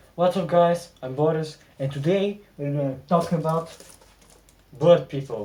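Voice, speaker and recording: Speaking at a fairly slow pace with long, frequent pauses, a man with a non-native accent has fairly high pitch and ordinary pitch variation. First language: not English. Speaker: gaming video creator. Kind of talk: video essay narration.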